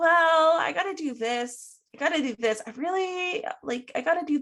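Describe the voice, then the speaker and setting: Putting on a character voice, a woman talks at a moderate pace with an extremely high pitch and a whiny tone, sounding whiny throughout. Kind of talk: defensive, complaining.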